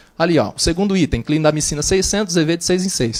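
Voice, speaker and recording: A man with a high pitch talks at a very fast pace. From interior of São Paulo state, Brazil (Flórida Paulista). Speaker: clinical pharmacist. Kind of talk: conference presentation. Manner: fast, brisk delivery.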